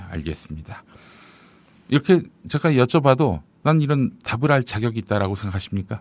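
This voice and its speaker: A man with a medium pitch and vocal fry speaks at a fairly quick pace, his pitch swinging very widely, with long, frequent pauses. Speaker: podcast news show host. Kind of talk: news commentary and interview. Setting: studio. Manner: formal.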